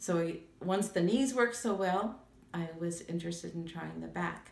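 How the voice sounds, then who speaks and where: A woman's fairly low voice at a moderate pace, with ordinary pitch variation, audible room echo and noticeable background noise. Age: 70s. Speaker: patient giving testimonial. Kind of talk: testimony. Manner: halting, many fillers.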